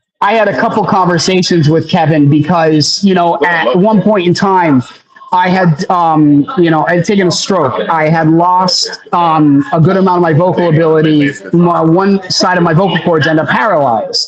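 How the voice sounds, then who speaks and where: Over noticeable background noise, a high-pitched man with an American accent talks with hardly any pauses. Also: ordinary pitch variation, moderate pace, very even loudness. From Pennsylvania. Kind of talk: podcast interview. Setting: live stream.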